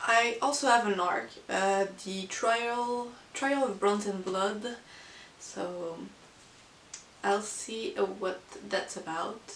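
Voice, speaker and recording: Very slow and broken by long, frequent pauses, a woman with a non-native accent speaks at medium pitch through audible room echo and noticeable background noise. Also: ordinary pitch variation. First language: not English. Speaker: book vlogger. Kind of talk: casual monthly book review. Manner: hesitant, many fillers.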